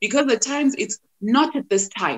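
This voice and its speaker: In a Zimbabwean accent, a woman talks at a moderate pace with a fairly high pitch and an animated tone. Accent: Zimbabwean Ndebele English. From Zimbabwe, Bulawayo. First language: Ndebele. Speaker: actress and TV/radio presenter. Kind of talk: podcast interview.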